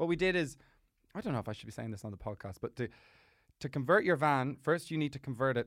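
A man speaks with an Irish accent and ordinary pitch variation. The recording is very clean, the background silent. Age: 20s. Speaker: comedian. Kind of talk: casual chat. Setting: studio.

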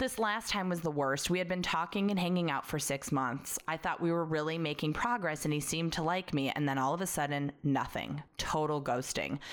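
A woman with an American accent has a very deep, low pitch and ordinary pitch variation. She keeps her loudness very even and moves at a fairly quick pace. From Chicago, US Midwest. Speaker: podcast host. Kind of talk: casual chat, banter.

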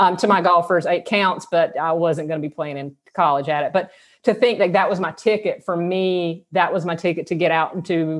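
The speaker has a Southern US accent and ordinary pitch variation at a moderate pace. The background is quiet. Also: woman. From US South, South Georgia. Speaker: podcast host, sex therapist. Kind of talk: casual interview chat; scripted intro.

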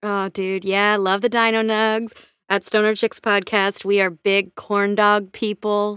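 In an American accent, a woman speaks at a fairly slow pace and medium pitch with monotone, flat intonation, in a dry, close sound with no echo. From Washington State. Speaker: theater performer and podcaster. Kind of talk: casual chat. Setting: remote call.

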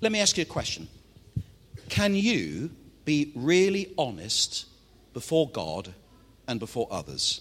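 A fairly slow delivery in a Mancunian accent, with very wide pitch swings and long, frequent pauses. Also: man, fairly high pitch for a man. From Manchester, northwest England. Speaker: pastor. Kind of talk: sermon. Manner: animated.

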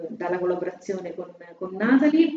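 A woman at a moderate pace, with a medium pitch and ordinary pitch variation. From Italy, Fabriano (Marche). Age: 30s. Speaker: coworking space manager. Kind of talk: interview. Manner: halting, repeats words.

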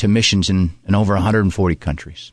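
Against a quiet background, a man with a Pennsylvania accent talks at a fairly quick pace, his fairly low voice keeping a fairly even intonation. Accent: Pennsylvania American. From Pennsylvania, Poconos. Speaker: senior army soldier. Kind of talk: radio interview. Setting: studio.

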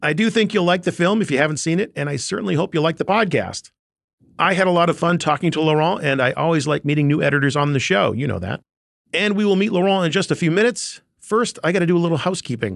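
Talking at a very fast pace, a man with a high-pitched voice shows ordinary pitch variation against a quiet background. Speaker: podcast host. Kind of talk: podcast interview, casual. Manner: animated, chatty.

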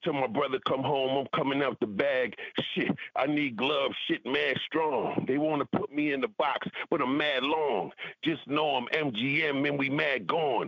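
Over noticeable background noise, a man with a fairly high pitch speaks at a fairly slow pace, his loudness very even and his pitch variation ordinary. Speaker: rapper and music producer. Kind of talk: casual interview chat. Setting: radio studio interview. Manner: relaxed, laid-back, slangy.

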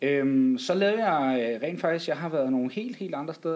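His pitch moves through very wide swings. The man talks fairly slowly. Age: 20s. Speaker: teacher-training student and podcast producer. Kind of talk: casual chat. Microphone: worse microphone than the others.

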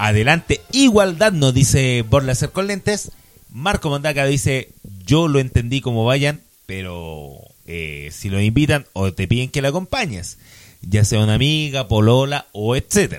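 Speaking fairly slowly in a Chilean accent, a man at medium pitch makes very wide pitch swings. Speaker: podcast co-host. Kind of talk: casual chat.

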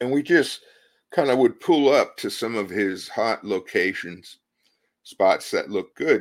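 A man speaks at a very slow pace with lively intonation. The recording is very clean, with a silent background. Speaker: podcast host and sasquatch researcher. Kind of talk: livestreamed presentation. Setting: live stream with chat viewers. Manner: casual, hesitant with fillers.

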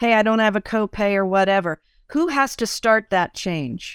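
A woman uses a normal speaking voice at medium pitch, with ordinary pitch variation and a moderate pace. The very clean recording has a silent background and a dry, close sound with no echo. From Italian-American family. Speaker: podcast host. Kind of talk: interview.

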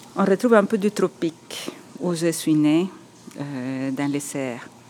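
A woman in a Spanish accent, very slow pace and ordinary pitch variation, over noticeable background noise. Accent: Spanish-accented French, rolled r. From El Salvador. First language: Spanish (speaking French). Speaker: architect and writer. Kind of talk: personal testimony. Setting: on location in Montreal.

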